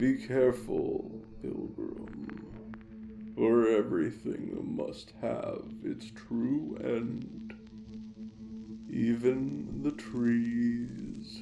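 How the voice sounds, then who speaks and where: In a put-on character voice, a man speaks at a very slow pace over clearly audible background noise. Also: medium pitch for a man. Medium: audio drama. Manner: slow, grave.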